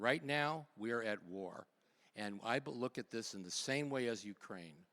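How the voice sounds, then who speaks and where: Lively intonation marks this man's medium-pitched voice. He keeps a moderate pace. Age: 60s. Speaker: political candidate. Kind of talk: town hall debate answers. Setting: university town hall with audience. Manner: halting, frequent restarts.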